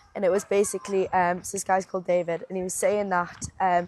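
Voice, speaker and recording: A woman talks at a fairly quick pace in a medium-pitched voice. Her intonation is monotone and flat, with noticeable background noise around her. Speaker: personal trainer, podcast co-host. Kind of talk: casual chat. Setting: outdoors, walking.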